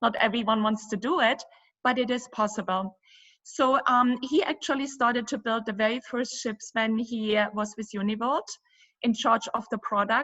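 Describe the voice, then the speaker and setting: A woman speaks with a German accent and a fairly high-pitched voice. Her pace is moderate, and her pitch variation is ordinary. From Germany. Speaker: cruise company owner. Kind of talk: interview.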